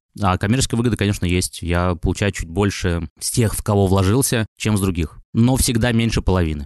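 A man with a normal speaking voice and a fairly low pitch talks at a fairly quick pace with hardly any pauses and ordinary pitch variation, in a dry, close sound with no echo against a quiet background. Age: 30s. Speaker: music and blogger producer, entrepreneur. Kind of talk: interview.

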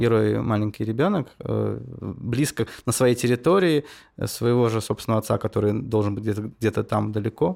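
Recorded very cleanly against a silent background, a man with a normal speaking voice and medium pitch talks at a moderate pace. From Saint Petersburg.

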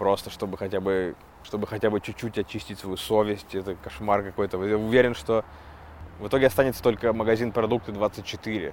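With an ordinary speaking voice, a man talks at a fairly quick pace, his pitch fairly low and his intonation fairly even. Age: 30s. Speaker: stand-up comedian and podcaster. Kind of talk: casual monologue podcast. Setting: outdoors walking dogs.

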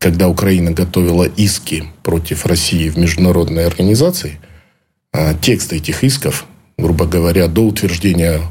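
A man's very deep, low, somewhat breathy voice at a moderate pace, with very even loudness, long, frequent pauses and audible room echo. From Ukraine. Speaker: former intelligence officer. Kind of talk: interview. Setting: studio.

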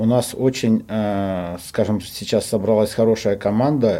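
A man's medium-pitched voice has a dark, mellow tone and fairly even intonation. He goes at a fairly slow pace, and the recording is very clean with a silent background. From Russia, Omsk. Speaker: football coach, former professional player. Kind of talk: interview.

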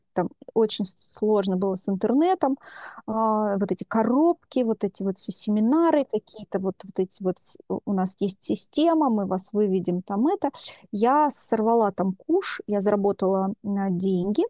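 With a dark, mellow tone, a woman speaks at a medium pitch and a fairly slow pace with lively intonation, in a dry, close sound with no echo and a quiet background. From Russia, Chelyabinsk region village. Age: 40s. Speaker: psychologist. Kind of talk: interview.

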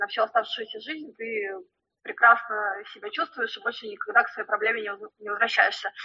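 High-pitched female speech full of lively intonation. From Russia. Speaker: flair bartender. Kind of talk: interview. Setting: remote call.

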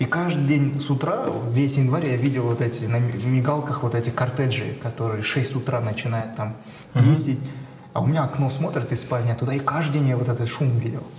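A man talks at a fairly quick pace, medium in pitch, with fairly even intonation. Noticeable background noise and audible room echo are present. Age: 30s. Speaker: entrepreneur. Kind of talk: casual chat.

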